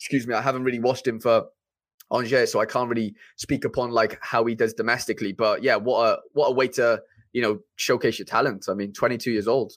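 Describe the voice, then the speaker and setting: Delivered at a very fast pace in a Welsh accent, the speech keeps a fairly even intonation over a very clean recording with a silent background. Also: man, medium pitch for a man. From Wales. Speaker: YouTuber and streamer. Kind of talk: casual chat.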